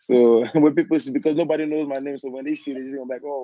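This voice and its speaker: A man with a Nigerian accent speaks at a fairly high pitch in a dark, mellow tone. His intonation is monotone and flat. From Nigeria, Lagos. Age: 20s. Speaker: dancer, actor and model. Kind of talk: interview.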